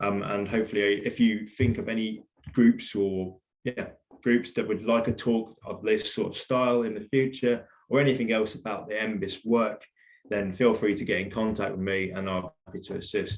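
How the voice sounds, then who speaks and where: Intonation stays fairly even as a man speaks at a fairly low pitch. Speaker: environmental records centre staff giving a talk. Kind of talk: illustrated talk. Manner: fast.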